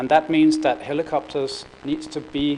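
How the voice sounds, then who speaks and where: Noticeable background noise behind a man going at a fairly slow pace. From Denmark. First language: Danish. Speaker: corporate procurement executive. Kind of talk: conference presentation. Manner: hesitant, many fillers and repetitions.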